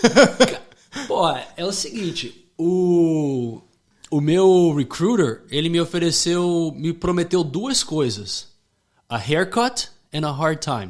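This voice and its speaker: A man with a high pitch talks very slowly. His intonation is lively. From Rio de Janeiro, Brazil until 8, then Connecticut, US. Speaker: former US Marine, gun shop owner. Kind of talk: podcast interview. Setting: studio.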